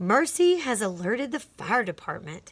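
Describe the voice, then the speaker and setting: A woman's put-on character voice, fairly high, with very wide pitch swings at a moderate pace. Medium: read story. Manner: grand, formal.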